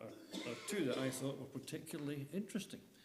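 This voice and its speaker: A man with a British accent, pitch swinging very widely, amid audible room echo. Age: 70s. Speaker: lay preacher. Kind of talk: sermon.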